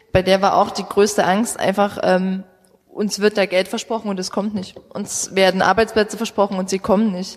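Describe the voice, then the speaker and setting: Woman at a medium pitch, monotone and flat, moderate pace, noticeable background noise. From Saxony, Vogtland. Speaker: youth party politician. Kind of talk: live panel discussion. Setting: stage with audience.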